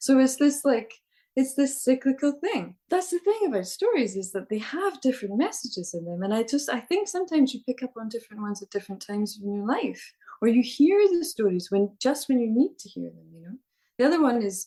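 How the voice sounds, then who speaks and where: With a Scottish accent and a dark, mellow tone, a woman talks at a fairly quick pace, her pitch swinging very widely and her loudness shifting a lot. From Scotland. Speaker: storyteller. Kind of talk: interview answer.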